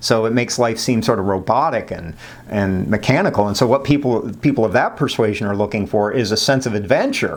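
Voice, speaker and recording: Medium-pitched male voice at a fairly quick pace, ordinary pitch variation and audible room echo. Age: 60s. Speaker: psychology professor. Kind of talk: lecture. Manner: casual, conversational with many fillers.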